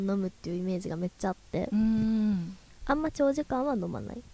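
A woman at a medium pitch speaks with lively intonation, recorded with a dry, close sound and no echo. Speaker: radio host. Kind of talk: casual chat. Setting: live recording with audience.

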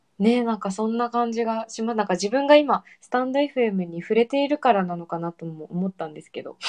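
A woman with an ordinary speaking voice talks fairly quickly at a fairly high pitch, with lively intonation and hardly any pauses. Her loudness swings widely, and the sound is dry and close with no echo. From Okinawa, Japan. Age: 20s. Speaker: podcaster. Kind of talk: casual chat.

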